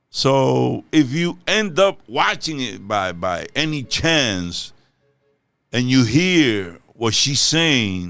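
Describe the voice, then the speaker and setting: A man speaks at a medium pitch with a bright, sharp tone and very wide pitch swings. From Dominican Republic. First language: Spanish. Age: old. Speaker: reaction youtuber. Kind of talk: casual chat. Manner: halting.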